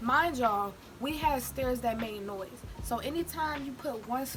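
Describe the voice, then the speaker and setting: A woman's high voice at a moderate pace with ordinary pitch variation, music in the background. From Chicago, Illinois. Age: young. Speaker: YouTuber. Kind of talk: casual storytime talk to camera during mukbang.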